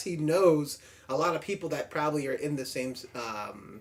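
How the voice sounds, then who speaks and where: An American accent at a moderate pace, ordinary pitch variation, with noticeable background noise. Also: man. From upstate New York. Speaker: podcast host, film reviewer. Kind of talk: casual film review chat. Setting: in-person home recording studio. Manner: proper, standard speech.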